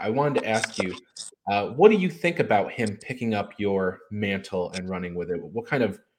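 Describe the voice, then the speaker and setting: A man with fairly low pitch at a moderate pace, an unremarkable speaking voice. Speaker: podcast host. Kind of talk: interview.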